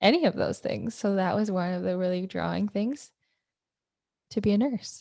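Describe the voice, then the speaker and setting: A woman's voice at a moderate pace, broken by long, frequent pauses. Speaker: nurse. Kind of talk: casual chat. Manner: loud.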